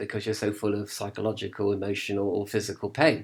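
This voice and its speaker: Man with an English accent at a moderate pace, on a very clean recording with a silent background. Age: 50s. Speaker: video blogger on religion. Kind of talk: casual monologue. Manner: hesitant, many fillers.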